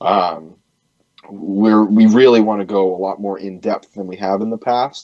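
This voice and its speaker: Fairly low in pitch with a dark, mellow tone, a man with a Boston accent speaks at a fairly slow pace with fairly even intonation and big swings in loudness. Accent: Boston-area New England. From New Hampshire, near Boston. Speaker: punk band singer and bassist. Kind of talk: radio interview. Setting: radio show.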